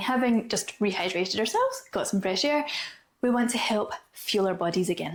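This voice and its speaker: Upbeat in tone, a woman with a Scottish accent talks at a fairly high pitch with lively intonation. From Scotland. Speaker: Pilates and movement coach. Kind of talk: casual talk to camera. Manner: chatty, upbeat.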